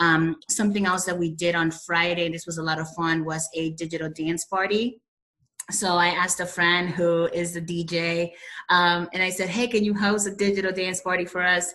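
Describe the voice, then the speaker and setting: The intonation is flat and monotone. The pace is moderate. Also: woman, fairly low pitch for a woman. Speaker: school principal. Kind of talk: virtual conference presentation.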